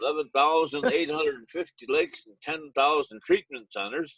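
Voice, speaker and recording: Speaking in a Lakota accent, a man uses a fairly high pitch, ordinary pitch variation and a moderate pace. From Pine Ridge Reservation, South Dakota. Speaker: retired teacher and powwow emcee. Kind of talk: casual panel Q&A. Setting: video call. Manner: halting, many fillers.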